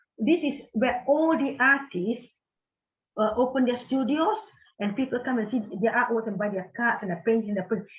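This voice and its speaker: A woman talks at a moderate pace. Her voice is high with ordinary pitch variation. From Singapore. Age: 60s. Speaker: artist. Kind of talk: casual chat.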